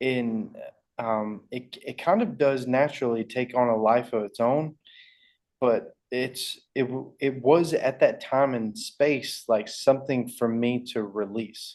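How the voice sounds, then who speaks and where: Against a quiet background, a man with a Southern US accent speaks at a very slow pace with fairly even intonation. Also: medium pitch for a man. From Alabama. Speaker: rock band frontman. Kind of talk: interview answer.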